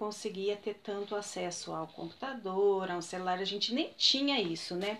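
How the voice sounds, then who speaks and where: At a fairly slow pace, a woman speaks in a medium pitch with lively intonation. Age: 30s. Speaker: interviewee, student's mother. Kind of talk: casual interview. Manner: hesitant.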